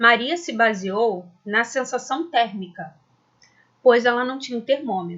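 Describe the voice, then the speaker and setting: Speaking at a very slow pace, a woman uses a fairly high voice. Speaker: school science teacher. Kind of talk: lecture. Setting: recorded video lesson.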